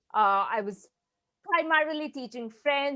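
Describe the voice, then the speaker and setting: A woman with a Bengali accent speaks at a high pitch and fairly slow pace. Her intonation is lively. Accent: Indian English, Bengali. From eastern India (Bengal). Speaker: learning consultant. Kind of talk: interview.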